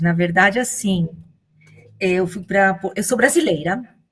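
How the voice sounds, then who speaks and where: Some breathiness colors the woman's medium-pitched voice. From Venezuela and Portugal. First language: Spanish (speaking Portuguese). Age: 50s. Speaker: law professor. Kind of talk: radio interview. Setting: radio studio.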